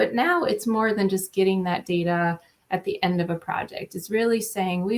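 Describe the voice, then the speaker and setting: A woman speaks with a slight Minnesota accent at a medium pitch. Her pace is moderate and her intonation fairly even. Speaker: state transportation agency asset manager. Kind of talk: panel discussion.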